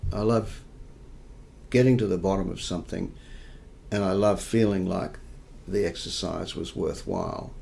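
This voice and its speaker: An Australian-accented man talks at a fairly slow pace and a fairly low pitch. His intonation stays fairly even, with audible room echo. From New South Wales, Australia. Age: 60s. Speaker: investigative journalist. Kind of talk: interview. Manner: halting, with many repetitions.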